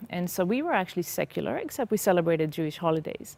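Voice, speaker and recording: Here a woman speaks with an Israeli accent at a moderate pace. Her pitch is fairly low. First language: Hebrew. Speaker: former psychotherapist sharing faith testimony. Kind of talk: testimony interview. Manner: halting.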